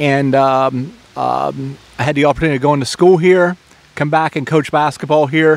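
A man speaks at a moderate pace with an American accent and vocal fry. His pitch is fairly high and barely moves.

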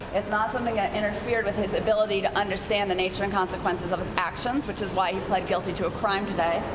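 Very fast delivery with hardly any pauses runs over noticeable background noise. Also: woman. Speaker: defense attorney. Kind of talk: press statement. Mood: serious, measured. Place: hall. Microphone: handheld.

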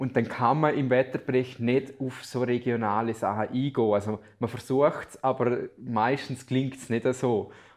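Man of medium pitch at a moderate pace, monotone and flat, with hardly any pauses. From Liechtenstein, Balzers; Liechtenstein. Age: 20s. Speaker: student teacher and amateur weather forecaster; student teacher. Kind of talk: interview. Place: office.

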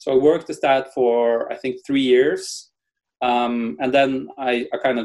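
Against a quiet background, a man with a Norwegian accent speaks at a fairly slow pace with ordinary pitch variation. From Norway. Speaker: tech entrepreneur and lawyer. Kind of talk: interview. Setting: video call. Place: home room. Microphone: webcam.

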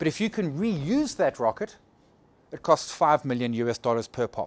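Recorded dry and close with no echo, a man with a fairly high pitch speaks at a moderate pace with lively intonation in a plain, everyday voice. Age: 40s. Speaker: trading educator. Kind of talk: lecture. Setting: stage with audience.

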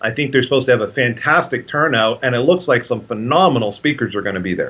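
A man at a fast pace, medium pitch, and lively intonation.

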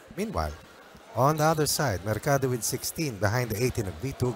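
Upbeat in tone, a man talks at a moderate pace with very wide pitch swings. Noticeable background noise runs under the recording. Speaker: color commentator. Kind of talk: live sports commentary. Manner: conversational, upbeat analyst, Taglish.

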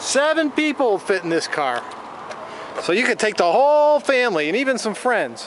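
Over noticeable background noise, the voice moves at a moderate pace with very wide pitch swings, in a dry sound with no echo. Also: man. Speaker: car salesman. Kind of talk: car dealership sales pitch, walkaround video tour. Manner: upbeat, enthusiastic, pitchy; casual, with occasional filler hesitations. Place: street. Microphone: phone near.

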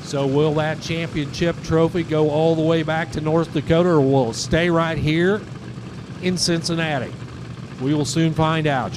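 Moderately paced speech is heard against noticeable background noise. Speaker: race announcer. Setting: track PA or broadcast booth at drag strip. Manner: excitable, punchy, building hype toward each pass.

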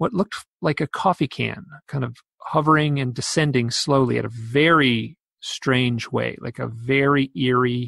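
Against a quiet background, a man with an unremarkable speaking voice talks at medium pitch and a moderate pace with ordinary pitch variation. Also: dry, close sound with no echo. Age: 50s. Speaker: author and UFO researcher. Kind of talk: interview.

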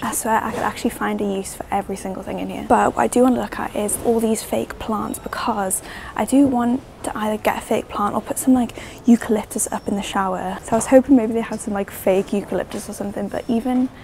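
A woman at a very fast pace with fairly even intonation over light background noise. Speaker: vlogger. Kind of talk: casual vlog chat. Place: shop. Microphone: lapel.

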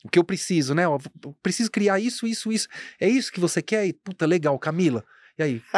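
A man's high-pitched, lively voice at a fairly quick pace, dry with no echo, over a quiet background. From Guarulhos, São Paulo state, Brazil; São Paulo state, Brazil. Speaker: fashion entrepreneur; podcast guest. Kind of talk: casual interview chat. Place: studio. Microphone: studio mic.

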